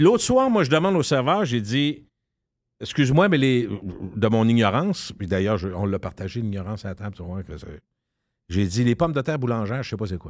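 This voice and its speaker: Over a quiet background, a man talks at a moderate pace with lively intonation, big swings in loudness and long, frequent pauses. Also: dry sound with no echo. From Quebec. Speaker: radio personality. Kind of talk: casual chat. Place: studio.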